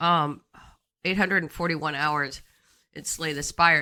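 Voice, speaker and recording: This woman has a fairly low pitch. Her tone is bright and sharp. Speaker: gaming streamer. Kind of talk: live game stream commentary. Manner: casual, with fillers and hesitations.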